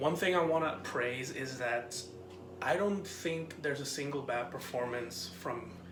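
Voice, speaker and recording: A man whispers quietly at a fairly slow pace, with noticeable background noise behind him. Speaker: film reviewer. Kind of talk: casual film review vlog. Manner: quiet, near whisper.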